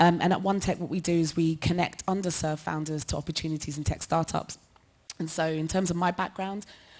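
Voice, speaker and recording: The intonation is flat and monotone. The speech comes in a London accent. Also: woman. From London, Hackney. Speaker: tech nonprofit director, former founder. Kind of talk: panel discussion.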